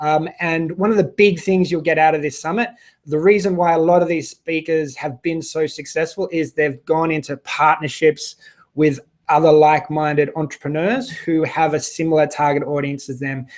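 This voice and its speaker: With an Australian accent, a man speaks at a moderate pace and a fairly high pitch, his intonation fairly even. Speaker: online business summit host. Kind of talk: live stream chat with viewers. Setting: live video broadcast.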